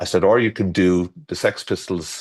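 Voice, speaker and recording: Over a quiet background, a man with an Irish accent speaks in a very deep, low pitch. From Ireland. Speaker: garden designer. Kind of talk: casual chat. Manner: halting.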